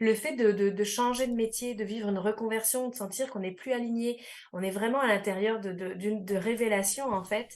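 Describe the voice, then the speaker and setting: A woman with a fairly high pitch talks at a fairly quick pace, her intonation fairly even. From France. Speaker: life coach, radio columnist. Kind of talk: radio interview.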